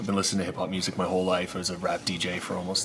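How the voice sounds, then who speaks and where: A man's very deep, low voice at a very fast pace amid noticeable background noise. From Canada, Nova Scotia (Maritimes). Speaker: social entrepreneur and restaurateur. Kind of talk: interview conversation. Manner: animated.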